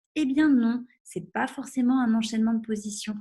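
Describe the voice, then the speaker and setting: Ordinary pitch variation comes with a somewhat breathy voice. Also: woman. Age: 30s. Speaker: sexologist. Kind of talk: webinar presentation. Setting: online webinar. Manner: hesitant, many fillers.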